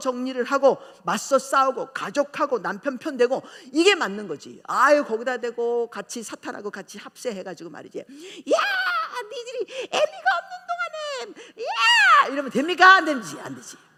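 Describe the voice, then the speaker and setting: Raised and projected, a woman's high-pitched voice has a bright, sharp tone, very wide pitch swings and big swings in loudness, moving at a fairly slow pace with hardly any pauses. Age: 60s. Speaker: pastor. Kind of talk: sermon. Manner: animated.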